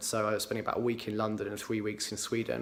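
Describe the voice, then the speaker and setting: A man talks with an English accent. His pitch sits in the medium range. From England, Cambridgeshire. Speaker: entrepreneur. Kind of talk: personal account to camera. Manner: hesitant, many fillers.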